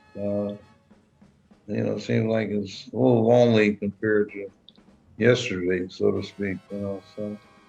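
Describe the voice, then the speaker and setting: Over music in the background, a man speaks with an American accent and monotone, flat intonation. His delivery has long, frequent pauses. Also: fairly low pitch for a man, moderate pace. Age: 80s+. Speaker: jazz musician's brother. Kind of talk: interview. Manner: halting.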